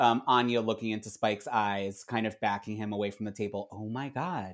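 A man with an American accent speaks in an unremarkable speaking voice at a fairly low pitch with fairly even intonation. The recording is very clean, with a silent background. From US, Philadelphia. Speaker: television writer and comedian. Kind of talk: casual chat.

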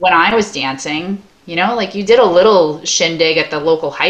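A woman uses a normal speaking voice at a fairly low pitch. Her pitch variation is ordinary and her pace moderate. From Long Island, New York. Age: 40s. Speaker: dance studio owner. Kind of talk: casual interview.

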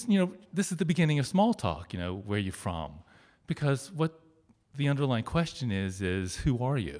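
A man with a Midwestern American accent speaks fairly quickly in a dark, mellow tone, his pitch swinging very widely. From Ohio, Cincinnati suburb. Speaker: storyteller. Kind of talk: storytelling on stage. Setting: stage with audience.

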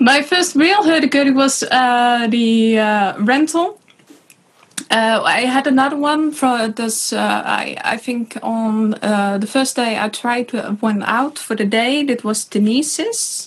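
With a Dutch accent, a woman talks at a very slow pace in a high voice. Her pitch moves in an ordinary way, and background noise is noticeable. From Netherlands. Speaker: hurdy-gurdy player. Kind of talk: casual chat.

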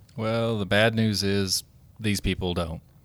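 On a very clean recording with a silent background, a man talks at a fairly slow pace and a fairly low pitch, his intonation monotone and flat. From Oklahoma. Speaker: Medicare insurance specialist. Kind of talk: casual interview.

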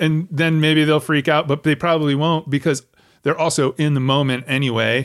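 In a fairly high voice with monotone, flat intonation and very even loudness, a man speaks at a moderate pace. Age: middle-aged. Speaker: podcast host. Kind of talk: casual interview.

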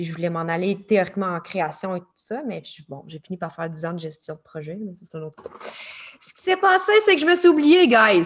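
A woman with a Quebec accent talks at a fairly quick pace in a medium pitch, her intonation lively and her loudness swinging widely. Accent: Québécois French. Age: 30s. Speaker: life coach. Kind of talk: interview. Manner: animated.

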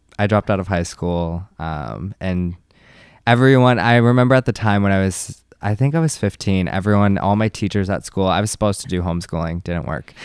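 An American-accented man talks fairly quickly at a fairly low pitch with ordinary pitch variation. It's an unremarkable speaking voice on a very clean recording with a silent background. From US Northeast, Massachusetts. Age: 20s. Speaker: dancer and choreographer. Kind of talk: casual chat. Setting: studio.

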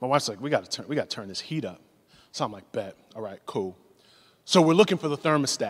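Over a very clean recording with a silent background, a man talks at a very fast pace with vocal fry, very wide pitch swings and big swings in loudness. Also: fairly high pitch for a man. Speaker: pastor. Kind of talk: sermon. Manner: animated.

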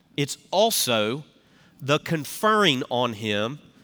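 A man with a Southern US accent speaks at a fairly high pitch in a bright, sharp tone. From US South (Tennessee). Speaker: pastor. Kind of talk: sermon. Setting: church with live congregation. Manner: folksy.

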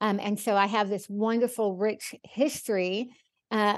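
With an American accent, an ordinary speaking voice moves at a moderate pace against a quiet background. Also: woman. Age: 50s. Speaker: author and speaker, cancer survivor. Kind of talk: interview conversation.

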